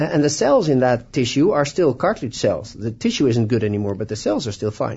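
Enthusiastic and somewhat breathy, a man with a Dutch accent talks at a fairly quick pace with very wide pitch swings. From Netherlands. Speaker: orthopedic surgeon. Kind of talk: radio interview.

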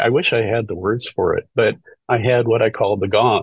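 The sound is dry and close with no echo. A man is the one talking. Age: 60s. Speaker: retired near-death experiencer, video channel creator. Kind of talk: casual chat. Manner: halting.

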